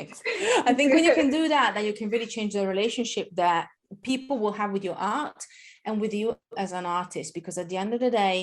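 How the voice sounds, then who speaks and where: With an Italian accent, a woman talks at a fairly quick pace in a fairly high voice with lively intonation. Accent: Italian accent, noticeable. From Italy. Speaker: marketing educator. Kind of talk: podcast interview.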